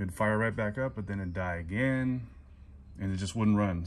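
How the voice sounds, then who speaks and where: A man talks at a fairly quick pace in a fairly low pitch. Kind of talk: casual repair vlog chat. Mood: relaxed, relieved. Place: garage. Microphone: phone near.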